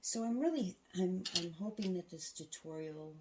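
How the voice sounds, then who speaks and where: Soft-spoken at a fairly slow pace, a woman talks with ordinary pitch variation. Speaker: quilting tutorial host. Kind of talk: tutorial. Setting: home sewing room, alone.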